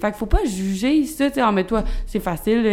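A woman talks at a fairly quick pace. Hers is an ordinary speaking voice with a fairly high pitch. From Quebec, Rive-Sud of Montreal. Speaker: fitness coach and business owner. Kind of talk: casual chat. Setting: studio.

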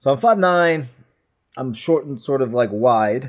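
A man speaks at a medium pitch with lively intonation. His pace is fairly slow.

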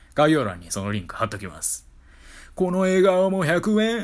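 A man's high-pitched voice with a Kyoto accent. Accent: Kyoto-Kansai Japanese. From Kyoto, Japan. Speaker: solo podcaster. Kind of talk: casual monologue.

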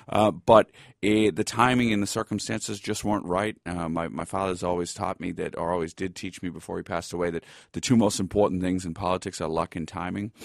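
A man with a Boston accent, very deep and low in pitch, at a very fast pace with fairly even intonation, in a dry, close recording with no echo and a quiet background. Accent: Boston American. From Boston, US (East Milton). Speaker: law lecturer and author. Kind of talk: interview.

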